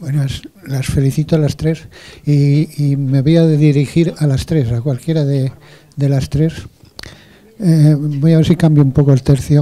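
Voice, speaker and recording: A man with a fairly high pitch speaks at a fairly slow pace, leaving long, frequent pauses. His intonation is monotone and flat, and there is noticeable background noise. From Spain. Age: 70s. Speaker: audience member asking a question. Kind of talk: audience question at forum. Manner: halting.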